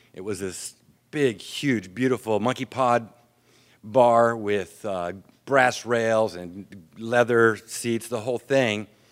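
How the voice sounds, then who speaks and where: A man with an American accent at a medium pitch, very slow pace and fairly even intonation, with big swings in loudness, in a very clean recording with a silent background. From US military family, raised abroad. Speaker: AA speaker. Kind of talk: recovery talk. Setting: stage with audience. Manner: clear.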